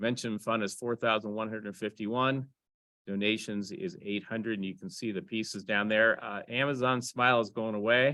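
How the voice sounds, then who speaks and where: A man uses an unremarkable speaking voice at a medium pitch, with ordinary pitch variation and a moderate pace. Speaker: amateur radio club president. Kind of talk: club meeting business report. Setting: in-person meeting room, also streamed on Zoom.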